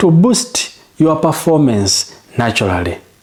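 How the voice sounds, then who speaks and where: Fairly high male voice with very wide pitch swings at a fairly slow pace, over noticeable background noise. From Uganda. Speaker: home remedy health coach. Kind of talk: tutorial. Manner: repetitive, direct address; slow, deliberate.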